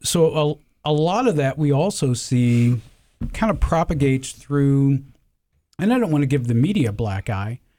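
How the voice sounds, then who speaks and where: A man talks at a moderate pace with a fairly high pitch. His tone is dark and mellow. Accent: American. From US South. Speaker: gun club membership organizer, retired university staff. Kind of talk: casual panel interview.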